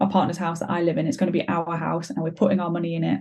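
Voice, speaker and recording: A woman's medium-pitched, somewhat breathy voice has a dark, mellow tone and monotone, flat intonation. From Belgium. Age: 20s. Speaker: stepmum sharing her story. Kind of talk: podcast interview.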